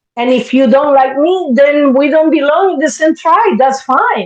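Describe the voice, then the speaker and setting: A woman speaks at a high pitch with a Spanish accent. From Spanish-speaking country. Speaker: therapist. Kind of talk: casual chat.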